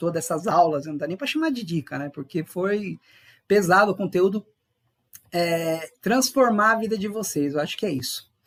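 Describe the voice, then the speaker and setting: A man speaks in a high voice with ordinary pitch variation. His pace is fairly quick. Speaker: chef and leadership mentor. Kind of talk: online class. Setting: livestream. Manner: fast.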